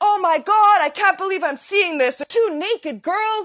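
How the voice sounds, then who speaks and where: A woman uses a put-on character voice. Her pitch is extremely high and her pace moderate. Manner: slurring words.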